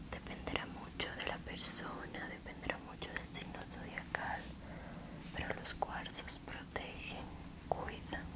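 A woman whispers at a very slow pace. She is soft-spoken. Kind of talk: soft explanatory narration during a massage. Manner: soft ASMR whisper while massaging. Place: home room. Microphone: lapel.

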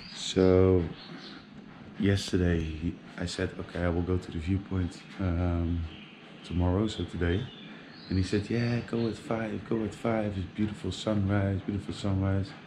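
Over noticeable background noise, a man with a very deep, low pitch talks at a fairly slow pace with fairly even intonation. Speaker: travel vlogger. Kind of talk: casual vlog chat. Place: street. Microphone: phone near.

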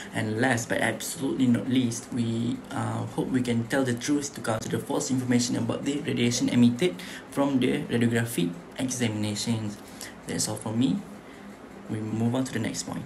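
Noticeable background noise accompanies a man of medium pitch who talks at a moderate pace with ordinary pitch variation. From Malaysia. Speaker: student; presenter. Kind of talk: class presentation. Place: home room. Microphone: webcam.

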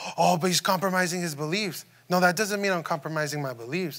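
A man speaks in a high voice with a bright, sharp tone. He goes at a fairly quick pace against a quiet background. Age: 30s. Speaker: youth preacher. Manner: earnest and informal, with frequent false starts and repeated words; direct questioning of the audience, reassuring tone. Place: church.

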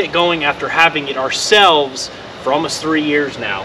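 A man speaks in a raised, projected voice at a fairly quick pace. Noticeable background noise runs behind him. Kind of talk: casual vlog chat. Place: street. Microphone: camera far.

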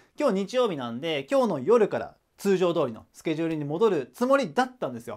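A man's pitch swings very widely as he talks fairly quickly, with a quiet background. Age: 30s. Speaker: online tutor / education YouTuber; online study tutor. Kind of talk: casual announcement to viewers. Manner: hesitant, many fillers.

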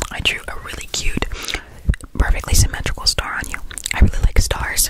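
Against loud background noise, a woman whispers, soft-spoken. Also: dry sound with no echo. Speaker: ASMR creator. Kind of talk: soft ASMR chat to viewer. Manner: soft close-mic ASMR whisper. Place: home room. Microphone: studio mic.

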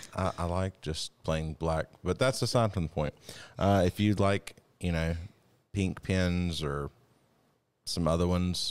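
A man's very deep, low voice with ordinary pitch variation. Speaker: podcast co-host, self defense instructor. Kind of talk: podcast conversation. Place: studio. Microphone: studio mic.

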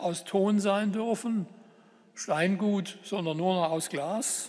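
Against a quiet background, a man with a high pitch speaks at a very slow pace with fairly even intonation. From Germany. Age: 70s. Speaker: politician and professor giving a talk; politician, professor giving a talk. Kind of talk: lecture. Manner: formal. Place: hall.

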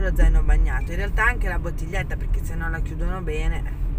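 Recorded dry with no echo, a woman speaks over loud background noise. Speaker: family vlogger driving. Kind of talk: casual vlog chat. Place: car. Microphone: phone near.

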